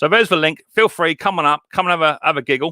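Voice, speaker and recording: With an English accent, a man talks at a very fast pace in a fairly high pitch with ordinary pitch variation, recorded with a dry, close sound and no echo. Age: 40s. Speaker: YouTuber hosting live stream. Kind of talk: casual live stream chat. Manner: animated, repetitive.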